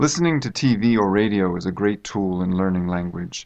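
A man with an American accent, an ordinary speaking voice, fairly low pitch and moderate pace, against a quiet background. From United States. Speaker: university English teacher. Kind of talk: interview. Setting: studio.

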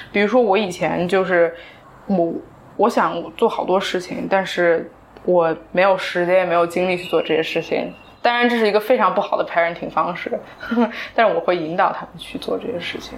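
A woman with a normal speaking voice talks at a fairly quick pace and medium pitch, with ordinary pitch variation. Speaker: entrepreneur. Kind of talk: casual chat. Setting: small recording studio.

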